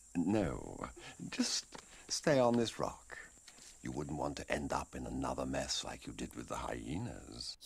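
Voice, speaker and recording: Very deep, low pitch from a man in a put-on character voice. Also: fairly slow pace. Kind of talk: fan dub voice acting. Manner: sly, condescending, falsely sweet.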